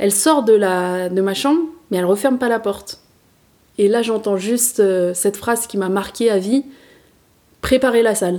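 A woman's medium-pitched voice, dark and mellow, with ordinary pitch variation, a moderate pace and long, frequent pauses. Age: 30s. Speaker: podcast host sharing her personal story. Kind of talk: personal testimony.

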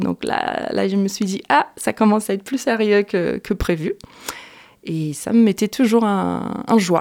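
A woman with a Portuguese accent speaks at a fairly slow pace in a medium pitch with ordinary pitch variation, captured in a very clean, dry, close recording with a silent background and no echo. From Brazil. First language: Portuguese (speaking French). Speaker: singer-songwriter. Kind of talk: radio interview. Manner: halting, with repetitions.

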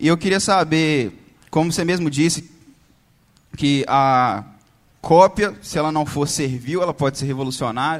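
An ordinary speaking voice moves at a moderate pace, its pitch varying in an ordinary way. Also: man. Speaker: student asking a question. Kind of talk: audience question.

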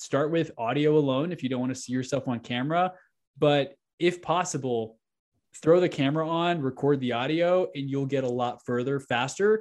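A man speaks at a moderate pace with a fairly high pitch and ordinary pitch variation. It's a normal speaking voice, set against a quiet background. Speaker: real estate agent and podcast host. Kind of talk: casual interview chat.

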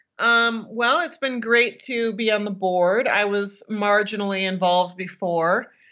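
With an American accent and a normal speaking voice, a woman of medium pitch talks at a fairly slow pace with ordinary pitch variation and hardly any pauses. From Michigan. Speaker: podcast co-host and long-distance hiker. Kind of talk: casual interview chat.

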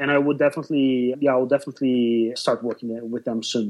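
Speaking at a fairly quick pace, a man with a Brazilian Portuguese accent keeps a medium pitch and fairly even intonation. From southern Brazil. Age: 30s. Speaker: photographer. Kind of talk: interview conversation.

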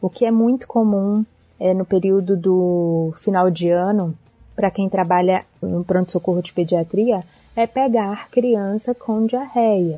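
At a fairly slow pace, a woman uses an ordinary speaking voice with medium pitch and ordinary pitch variation. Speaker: doctor and travel blogger. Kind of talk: recorded advice segment.

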